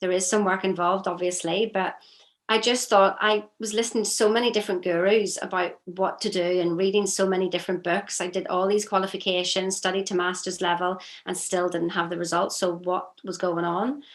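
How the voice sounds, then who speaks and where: Here a woman speaks with a Northern Irish accent. Her intonation is monotone and flat. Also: medium pitch for a woman, fairly quick pace. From Northern Ireland. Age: 50s. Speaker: strengths consultant. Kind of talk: interview.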